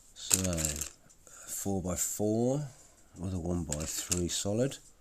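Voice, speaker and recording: With a British accent, the speaker goes at a very slow pace in a relaxed tone with lively intonation. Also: man, very deep, low pitch for a man. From Britain. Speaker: YouTuber building Lego on stream. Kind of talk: casual live-stream chat while building. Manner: relaxed, halting with self-corrections.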